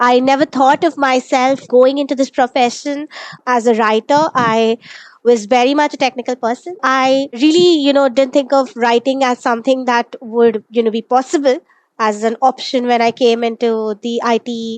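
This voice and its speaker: Someone with an Indian accent speaks at a moderate pace with fairly even intonation, the sound dry and close with no echo. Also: woman, high pitch for a woman. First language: Malayalam. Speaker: technical writer. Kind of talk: interview.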